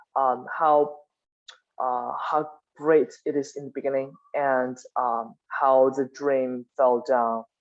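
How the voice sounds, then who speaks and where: Each word comes very slowly. A non-native accent marks the speech. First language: not English. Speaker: class discussion leader. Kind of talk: book club discussion. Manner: halting.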